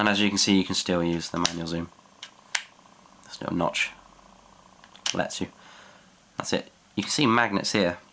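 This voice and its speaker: Noticeable background noise sits behind a man whose voice is fairly low. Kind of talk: product review talk to camera.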